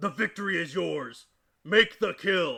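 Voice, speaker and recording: A man puts on a raspy character voice, high in pitch and raised to project. He speaks at a fairly slow pace. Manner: stern, demanding.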